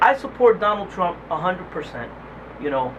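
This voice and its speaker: There is noticeable background noise as a man talks with a high pitch. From New Jersey, Puerto Rican. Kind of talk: street interview. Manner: halting.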